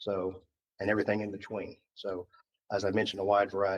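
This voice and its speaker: With a Southern US accent, a man speaks at a fairly low pitch in a dry, close sound with no echo. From Georgia (US South). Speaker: school board applicant, HR manager. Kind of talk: job interview. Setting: public board meeting. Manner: hesitant, many fillers.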